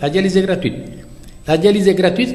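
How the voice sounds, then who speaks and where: A man talks in a space with audible room echo, and noticeable background noise runs underneath. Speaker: dialysis patient activist. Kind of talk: interview. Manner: animated.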